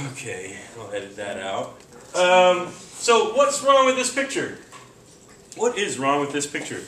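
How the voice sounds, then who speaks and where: An animated tone broken by long, frequent pauses, with audible room echo. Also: man. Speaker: chemistry teacher. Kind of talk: classroom lecture.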